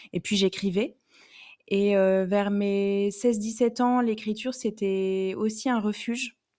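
Recorded very cleanly against a silent background, a woman speaks at a medium pitch with fairly even intonation. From southwestern France, Bordeaux. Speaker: romance novelist and hairdresser. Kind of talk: interview. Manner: hesitant, many fillers.

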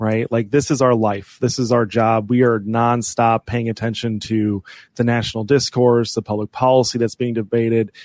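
In an American accent, a man with medium pitch speaks at a moderate pace in a monotone, flat delivery with hardly any pauses, on a very clean recording with a silent background. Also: dry, close sound with no echo. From US Midwest. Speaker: political advocacy group president. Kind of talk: podcast interview.

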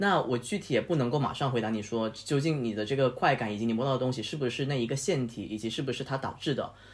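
A somewhat breathy man's voice at medium pitch, very fast with hardly any pauses, ordinary pitch variation, on a very clean recording with a silent background. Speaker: guest host, friend of the host. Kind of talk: casual chat. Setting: home apartment studio, face to face.

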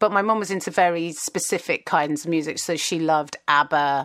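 A woman's very deep, low voice in a southern English accent, at a moderate pace with fairly even intonation. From southern England, Kingston near London. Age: 40s. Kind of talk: casual chat. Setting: video call.

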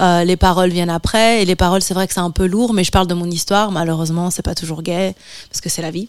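An ordinary speaking voice, this woman's sits at a fairly low pitch and moves at a fairly quick pace with fairly even intonation. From France, Martinican family. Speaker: musician. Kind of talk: interview.

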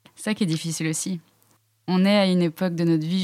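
On a very clean recording with a silent background, the voice keeps a moderate pace and fairly even intonation. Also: woman. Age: 20s. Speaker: student entrepreneur. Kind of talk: interview, asking questions. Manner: hesitant, many fillers.

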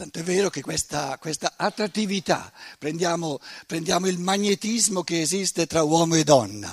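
In a very clean recording with a silent background and a dry, close sound with no echo, a man with a high pitch speaks at a moderate pace with ordinary pitch variation. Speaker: lecturer, author. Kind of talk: lecture.

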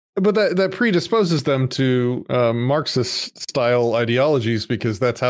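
Speech comes in a normal speaking voice at a moderate pace with ordinary pitch variation. The recording is very clean, with a silent background. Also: man. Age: 40s. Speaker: IT entrepreneur. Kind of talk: casual interview chat.

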